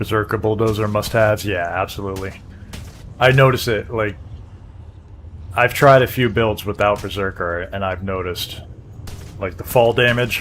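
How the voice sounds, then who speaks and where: With music in the background, a man speaks at a moderate pace and fairly low pitch, his intonation fairly even and his pauses long and frequent. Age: 40s. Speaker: gaming streamer. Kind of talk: casual live-stream gameplay chat.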